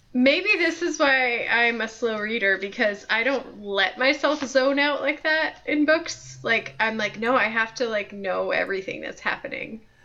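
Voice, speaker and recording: Over noticeable background noise, a woman speaks at a fairly slow pace with hardly any pauses. Her high voice shows ordinary pitch variation. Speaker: co-host, librarian. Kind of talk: casual chat.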